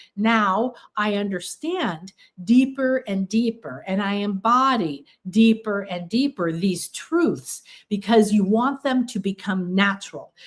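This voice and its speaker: Speaking at a very slow pace, a woman has a medium pitch and lively intonation. Her voice is somewhat breathy. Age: 60s. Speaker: spiritual teacher. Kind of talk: livestream workshop talk. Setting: livestream.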